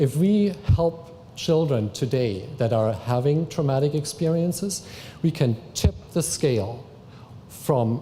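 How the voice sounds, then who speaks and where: Lively intonation from a man with a non-native accent, a dark, mellow tone and a somewhat breathy quality. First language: not English. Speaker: family services worker. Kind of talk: public talk.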